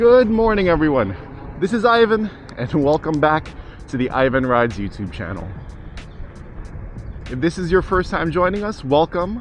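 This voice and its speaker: Faint music sits in the background as a man speaks at a moderate pace, leaving long, frequent pauses, in a dry sound with no echo. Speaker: scooter ride vlogger. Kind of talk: casual vlog chat. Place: street.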